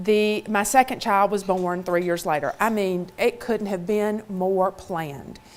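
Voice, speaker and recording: At a fairly slow pace, a woman with a Mississippi accent speaks at a medium pitch. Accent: Southern (Mississippi). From US South, Mississippi. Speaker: motivational speaker. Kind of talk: keynote talk.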